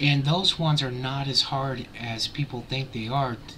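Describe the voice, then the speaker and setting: A man at medium pitch and a moderate pace, with ordinary pitch variation, over noticeable background noise. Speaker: YouTube vlogger. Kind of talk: casual vlog commentary.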